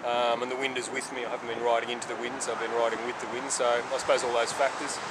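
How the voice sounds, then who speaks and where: A man talks over loud background noise. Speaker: motorcycle traveller vlogger. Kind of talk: casual vlog chat. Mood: relaxed and pleased. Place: street.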